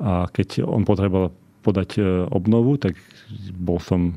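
A man's voice sits very deep and low. The tone comes across dark and mellow. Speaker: scientist. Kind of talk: interview. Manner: halting.

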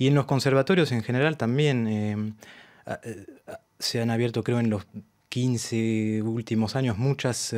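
A man's voice sits at a middle pitch and keeps a fairly level intonation, with the background quiet. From France, Argentine parents. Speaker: tango violinist and arranger; guest. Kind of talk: interview. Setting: radio studio. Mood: relaxed, friendly. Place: studio. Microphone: studio mic.

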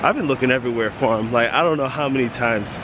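The recording of a man with fairly even intonation has a dry sound with no echo and noticeable background noise. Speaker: school bus driver vlogger. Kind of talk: casual vlog chat. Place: waterside. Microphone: phone near.

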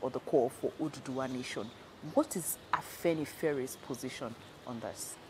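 A woman speaks with a Nigerian accent in a very deep, low voice. Music plays in the background. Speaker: journalist interviewer. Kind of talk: news interview intro and question. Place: home room.

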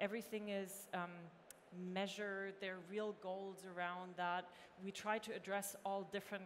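A woman speaks in a monotone with flat intonation. Light background noise is present. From Germany. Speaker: tech executive. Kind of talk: panel discussion. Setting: stage with audience. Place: stage. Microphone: headset.

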